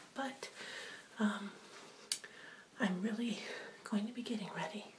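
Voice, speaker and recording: A fairly slow pace and ordinary pitch movement, with noticeable noise behind. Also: woman, fairly high pitch for a woman. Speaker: ASMR and beauty video creator. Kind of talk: casual talk to camera. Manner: casual, conversational, slightly hesitant.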